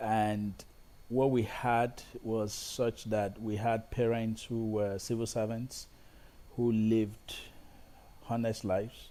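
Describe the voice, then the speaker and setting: A man talks at a very slow pace with long, frequent pauses, his dark, mellow tone held in a monotone, flat intonation. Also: medium pitch for a man. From Nigeria, Ibadan. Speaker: film and TV director. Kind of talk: interview conversation. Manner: halting, many repetitions.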